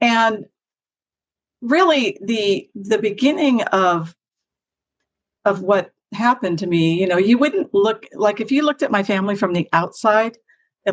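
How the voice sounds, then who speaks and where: A woman with a plain, everyday voice speaks at medium pitch and a moderate pace with lively intonation. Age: 60s. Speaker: trauma recovery coach and author. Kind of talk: personal testimony in interview.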